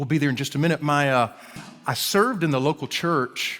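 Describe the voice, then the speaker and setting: A man's medium-pitched voice with an Alabama accent. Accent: Alabama drawl. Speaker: guest preacher and professor. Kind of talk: sermon. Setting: church service. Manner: halting, many repeated words.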